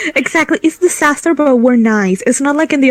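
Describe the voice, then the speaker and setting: The speaker is a woman. Her voice sounds dry and close, with no echo. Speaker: game master. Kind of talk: casual chat. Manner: animated.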